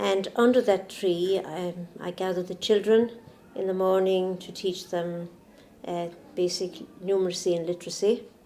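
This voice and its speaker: A woman with an Irish accent speaks at a medium pitch in a flat, monotone way, her loudness swinging widely over noticeable background noise. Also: moderate pace. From Ireland. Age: 70s. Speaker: nun and nurse. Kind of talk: interview testimony.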